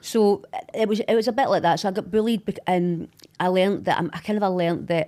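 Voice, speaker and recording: A fairly quick woman's voice, dark and mellow in tone, with fairly even intonation. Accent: Glaswegian. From Scotland, Glasgow. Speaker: social media personality. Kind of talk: podcast interview.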